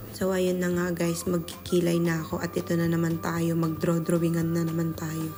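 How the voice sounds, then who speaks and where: Music plays in the background as a woman speaks at a fairly quick pace. Her pitch is fairly low and her intonation monotone and flat. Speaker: vlogger, overseas office worker. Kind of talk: casual vlog narration. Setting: at home. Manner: soft and quiet in recording, usually loud.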